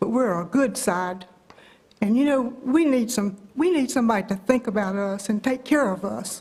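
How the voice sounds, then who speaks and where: A woman speaks with a North Carolina accent at a fairly high pitch, her intonation lively. Noticeable background noise runs under her voice. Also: moderate pace. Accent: Southern US, North Carolina. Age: 80s+. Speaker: public commenter. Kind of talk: public comment at meeting. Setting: county board meeting room.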